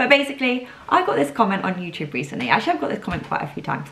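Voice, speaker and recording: A woman is speaking. Her pace is very fast. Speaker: podcast host. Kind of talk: casual solo podcast chat. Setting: at home. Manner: voice wobbles when nervous.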